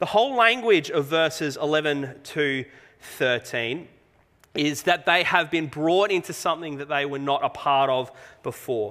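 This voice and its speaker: With a quiet background behind it, a bright, sharp voice in an Australian accent moves at a fairly slow pace. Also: man, fairly high pitch for a man. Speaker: pastor. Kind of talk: sermon. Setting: church. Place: church.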